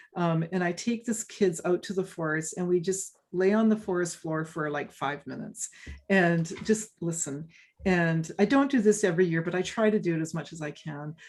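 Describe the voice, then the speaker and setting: This woman has a fairly low pitch and a Canadian accent. She speaks at a moderate pace. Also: ordinary pitch variation. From western Canada, British Columbia. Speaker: forest ecology professor and author. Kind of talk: interview Q&A. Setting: video call. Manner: casual, many hesitations and repeats.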